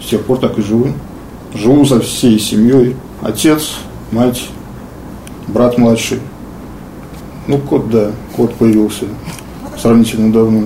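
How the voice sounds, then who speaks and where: Very slow speech with long, frequent pauses, fairly even intonation and very even loudness, over noticeable background noise and audible room echo. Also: man, medium pitch for a man. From Russia, Pskov. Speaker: wheelchair athlete, arm-wrestler. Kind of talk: interview. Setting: at home. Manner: halting.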